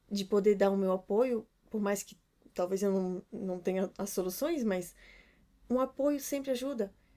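With a Brazilian accent, a woman talks at a moderate pace in a dark, mellow tone with ordinary pitch variation. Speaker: podcast co-host, runs own business. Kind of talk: casual chat.

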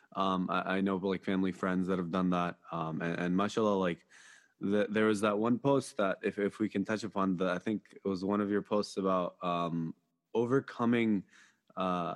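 A man with a normal speaking voice talks at a moderate pace in a fairly low pitch, with fairly even intonation and very even loudness. The sound is dry and close with no echo, over a quiet background. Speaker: podcast host. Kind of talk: casual interview.

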